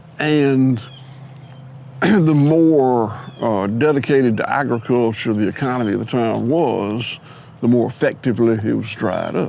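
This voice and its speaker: A man with a Southern US accent talks at a fairly slow pace and a medium pitch. His tone is dark and mellow, and his pitch variation is ordinary. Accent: Southern US (Georgia). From US South, Georgia. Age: 60s. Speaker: farmer. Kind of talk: interview conversation.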